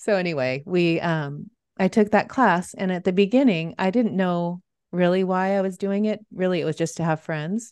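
Against a quiet background, a woman of medium pitch talks at a moderate pace with ordinary pitch variation. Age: 50s. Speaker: youth confidence coach. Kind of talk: casual interview chat.

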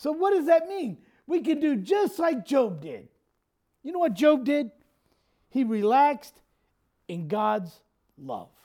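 The speech moves at a fairly slow pace with long, frequent pauses, in a very clean recording with a silent background. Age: 50s. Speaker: pastor. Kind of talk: sermon. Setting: church.

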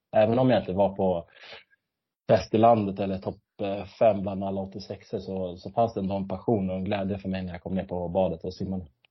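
A man talks at a fairly quick pace in a very deep, low voice with monotone, flat intonation. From Sweden, Stockholm area. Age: 30s. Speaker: retired competitive swimmer. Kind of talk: interview. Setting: at home in kitchen, remote call.

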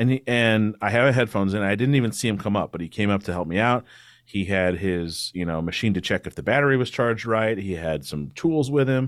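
A man's unremarkable speaking voice, fairly low in pitch, with lively intonation and a fairly quick pace. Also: very clean recording, silent background. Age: 30s. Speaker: attorney and political podcast host. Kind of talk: casual interview.

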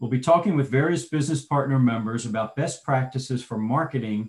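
A man's voice sits at a medium pitch, somewhat breathy, its pitch moving in an ordinary way. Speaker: podcast host and association executive director. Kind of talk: interview podcast.

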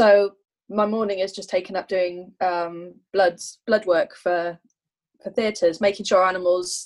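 In a very clean recording with a silent background, a woman speaks at a fairly slow pace with medium pitch and monotone, flat intonation. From England/Wales border, Anglo-Welsh. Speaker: bioveterinary scientist and witch. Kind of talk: casual interview chat.

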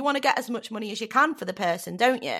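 Speaking with a northern English accent, a woman lets her pitch swing very widely. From northern England. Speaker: comedian and voiceover artist. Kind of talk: casual interview chat. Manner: animated, jokey.

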